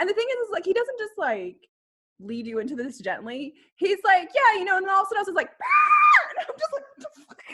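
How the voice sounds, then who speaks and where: Shouting at a very fast pace in an animated tone, the speaker has a slight Kentucky accent, very wide pitch swings and big swings in loudness. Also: woman, extremely high pitch for a woman. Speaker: historical costumer, video creator. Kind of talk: casual chat.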